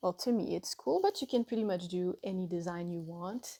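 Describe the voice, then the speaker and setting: A woman speaks in a Quebec accent with a dark, mellow tone. Her pitch varies in an ordinary way. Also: dry, close sound with no echo. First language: French. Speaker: artist and tattoo artist. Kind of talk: tutorial. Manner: halting, self-correcting.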